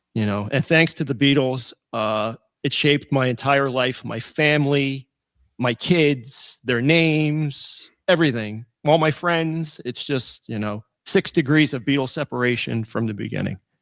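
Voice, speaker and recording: A man speaks at medium pitch with ordinary pitch variation and a fairly slow pace, in an ordinary speaking voice. The recording is very clean, with a silent background. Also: dry, close sound with no echo. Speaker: internet radio host. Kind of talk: interview.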